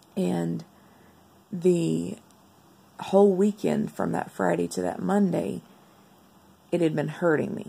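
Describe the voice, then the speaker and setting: A woman speaks with a very deep, low pitch, vocal fry and very wide pitch swings. Her pace is very slow, with long, frequent pauses. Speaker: vlogger sharing medical recovery. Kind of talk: video diary.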